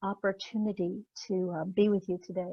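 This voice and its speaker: Somewhat breathy, a woman's medium-pitched voice moves at a moderate pace. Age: 60s. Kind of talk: presentation; Q&A answer. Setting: virtual symposium. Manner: halting, many fillers.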